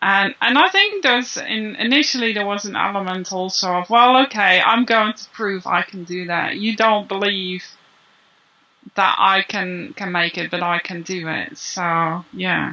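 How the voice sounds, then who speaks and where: A woman speaks at a fairly slow pace with a non-native accent. Her pitch sits in the medium range, with ordinary pitch variation. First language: not English. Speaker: copywriter and business writing coach. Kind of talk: interview. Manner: halting.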